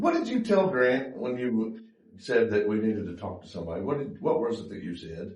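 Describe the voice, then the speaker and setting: There is audible room echo as a man talks at a fairly quick pace with very wide pitch swings and big swings in loudness. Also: medium pitch for a man. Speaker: YouTuber filming police interactions. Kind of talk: confrontational on-camera exchange.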